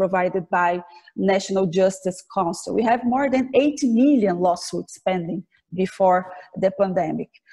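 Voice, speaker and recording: Against a quiet background, a woman with a Portuguese accent speaks at a moderate pace with ordinary pitch variation. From Brazil. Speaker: government official and law professor; law professor. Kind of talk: formal interview. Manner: halting, many fillers. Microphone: video call.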